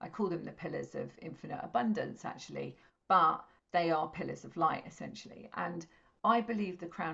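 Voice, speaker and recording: A woman talks at a moderate pace with an English accent. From England. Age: 50s. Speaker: intuitive astrologer and spiritual teacher. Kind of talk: interview.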